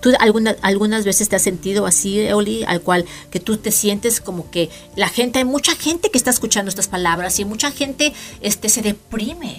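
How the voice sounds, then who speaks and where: Someone speaks at a moderate pace with lively intonation over noticeable background noise. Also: woman. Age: 50s. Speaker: podcast host. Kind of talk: casual chat.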